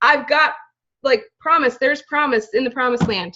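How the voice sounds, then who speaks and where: With an animated tone, a woman talks at a fairly quick pace in a high pitch. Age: 30s. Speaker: direct sales team leader. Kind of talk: motivational team talk. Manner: casual, animated.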